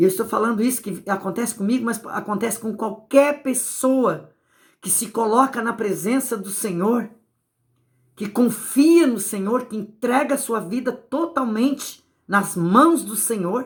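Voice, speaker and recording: In a very clean recording with a silent background, a woman talks at a fairly slow pace in a fairly high pitch, somewhat breathy, with ordinary pitch variation. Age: 60s. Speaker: evangelical preacher. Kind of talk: sermon.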